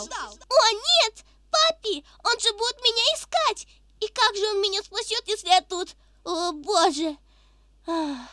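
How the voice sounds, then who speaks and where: In a put-on character voice with an extremely high pitch, the speaker goes at a moderate pace with long, frequent pauses. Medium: dub. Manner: upbeat, excitable.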